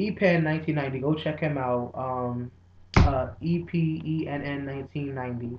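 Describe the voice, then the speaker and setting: A man speaks quietly in a fairly high voice, keeping his intonation fairly even. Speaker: video blogger. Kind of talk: casual vlog. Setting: dining room at home.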